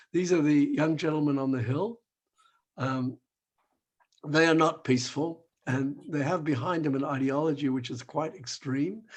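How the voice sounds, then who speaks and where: Long, frequent pauses break up speech that has ordinary pitch variation and a moderate pace. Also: man, fairly high pitch for a man. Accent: Australian. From Australia, Melbourne. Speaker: rabbi and human rights activist. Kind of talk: online talk with slides. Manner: hesitant, conversational.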